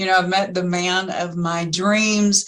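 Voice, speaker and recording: Her intonation is fairly even. The woman's pitch sits at a medium level. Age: 50s. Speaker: college dean. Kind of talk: interview. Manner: halting.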